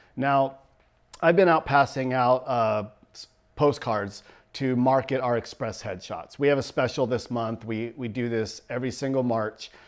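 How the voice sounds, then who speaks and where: The speech moves at a moderate pace with ordinary pitch variation and big swings in loudness. It is a very clean recording with a silent background. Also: man, medium pitch for a man. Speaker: photographer. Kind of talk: promotional video talk. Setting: photo studio. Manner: animated, talks with hands.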